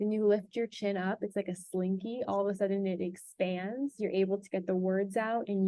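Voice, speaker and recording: A woman with an American accent speaks at a moderate pace and medium pitch in a monotone, flat intonation. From US, South Florida. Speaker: public speaking and branding coach. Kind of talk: workshop lecture.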